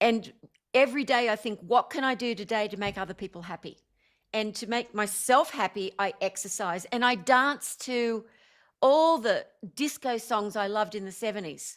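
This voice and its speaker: On a very clean recording with a silent background, a woman talks at a moderate pace in a fairly high pitch with ordinary pitch variation. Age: 60s. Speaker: spiritual teacher and former stage performer. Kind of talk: interview. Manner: animated.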